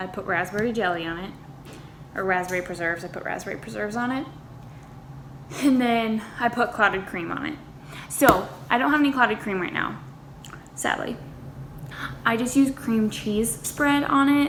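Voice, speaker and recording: At a moderate pace with long, frequent pauses, a woman with an American accent and fairly high pitch is heard with audible room echo and noticeable background noise. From United States. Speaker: lifestyle vlogger. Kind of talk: casual vlog tutorial. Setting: home kitchen. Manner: chatty, informal.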